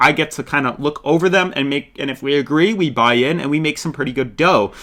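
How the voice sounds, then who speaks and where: A bright, sharp tone at a very fast pace, with ordinary pitch variation on a very clean recording with a silent background. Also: man, fairly high pitch for a man. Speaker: crypto YouTuber. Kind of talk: market analysis tutorial.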